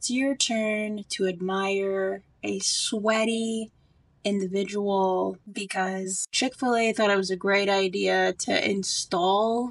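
Against a quiet background, the speaker talks at a very slow pace with fairly even intonation. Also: woman. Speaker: single mom vlogger, pharmacist. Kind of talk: casual talk to camera, humorous storytime. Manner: humorous, sarcastic, conversational.

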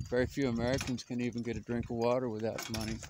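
The speech comes at a very fast pace, with a dry, echo-free sound and noticeable background noise. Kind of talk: casual vlog monologue. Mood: reflective, critical. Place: open country. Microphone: phone near.

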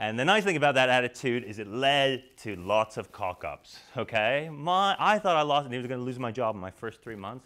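A bright, sharp tone at a fairly quick pace, ordinary pitch variation and a quiet background. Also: man. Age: 30s. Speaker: keynote speaker. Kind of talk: conference keynote talk. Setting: stage with audience. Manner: animated. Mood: humorous, anecdotal. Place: hall.

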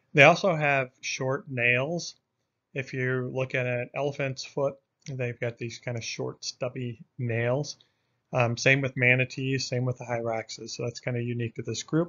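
At a moderate pace and with fairly even intonation, a man speaks over a quiet background. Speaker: course instructor. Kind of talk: lecture. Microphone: webcam.

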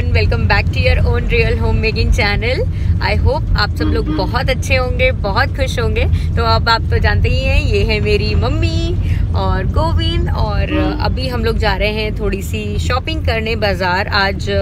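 A woman talks at a fairly slow pace through loud background noise, the sound dry with no echo. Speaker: lifestyle vlogger. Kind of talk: casual vlog chat. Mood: cheerful, upbeat.

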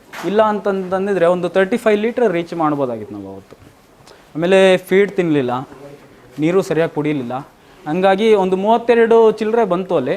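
Against noticeable background noise, a high-pitched man speaks with big swings in loudness and ordinary pitch variation. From Doddaballapur, Bangalore Rural, Karnataka. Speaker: dairy farmer. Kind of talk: interview on farm.

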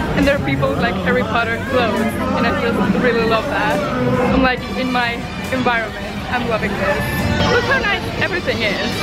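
Over loud background music, a woman talks at a fairly quick pace, the sound dry with no echo. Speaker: vlogger. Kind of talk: casual vlog chat. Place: street. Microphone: phone near.

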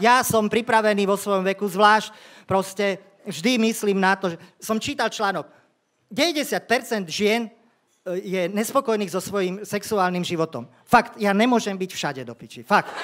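The delivery comes at a fairly slow pace, with big swings in loudness and ordinary pitch variation. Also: man, high pitch for a man. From Slovakia. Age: 50s. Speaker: stand-up comedian. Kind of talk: stand-up. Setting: stage with audience. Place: stage. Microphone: handheld.

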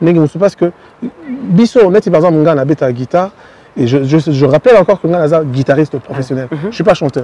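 A man's fairly high voice at a very fast pace, dry with no echo. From DR Congo. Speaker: singer; guest. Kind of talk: interview. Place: street.

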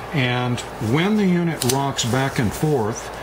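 There is noticeable background noise. Over it, a man talks at a fairly slow pace. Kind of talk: tutorial. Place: workshop. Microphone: camera far.

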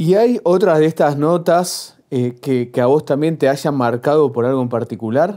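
A man with a fairly high-pitched voice and a dark, mellow tone speaks at a fairly slow pace with lively intonation and hardly any pauses, against a quiet background. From Argentina. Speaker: interviewer. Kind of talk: interview. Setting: university. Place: studio.

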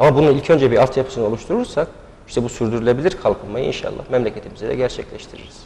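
This man talks very quickly, his pitch rising and falling in a normal way. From Niksar, Tokat, Turkey; Tokat, Turkey. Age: 30s. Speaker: candidate, lawyer. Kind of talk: TV interview. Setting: TV studio. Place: studio. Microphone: lapel.

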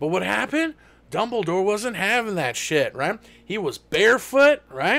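A man with a bright, sharp tone speaks in a raised, projected voice at a fairly slow pace, his pitch swinging very widely. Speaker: stand-up comedian and streamer. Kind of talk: stand-up comedy rant, improvised and profane, a Die Hard parody mashed with Harry Potter. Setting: live Twitch stream with chat and a kitchen-timer voice assistant. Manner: playful and self-aware, talks to the chat and asks for claps. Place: home room.

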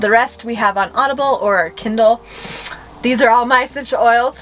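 Over music in the background, a woman talks at a moderate pace with ordinary pitch variation. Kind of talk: casual vlog chat. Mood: cheerful, playful. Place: home room. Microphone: camera far.

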